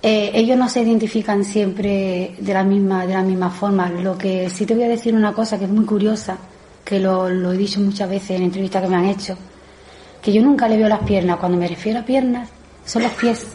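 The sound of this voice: A woman's fairly quick, medium-pitched voice with a dark, mellow tone, fairly even intonation and audible room echo.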